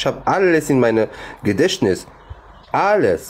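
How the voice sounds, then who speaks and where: A man speaks with very wide pitch swings. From Morocco. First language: Arabic (speaking German). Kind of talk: live stream debate. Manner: animated.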